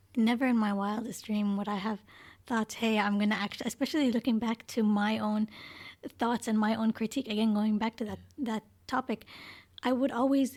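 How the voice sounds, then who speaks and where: Fairly high-pitched and somewhat breathy, a woman speaks at a fairly quick pace with monotone, flat intonation in a very clean, dry, close recording with no echo and a silent background. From Canada, later Iraq. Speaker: podcast co-host. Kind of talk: casual chat.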